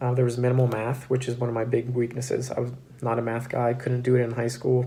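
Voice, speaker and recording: A man with a medium pitch talks in a dark, mellow tone that is somewhat breathy, with audible room echo. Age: 20s. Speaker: cybersecurity graduate and YouTuber. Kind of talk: casual explainer to camera. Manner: casual with frequent fillers.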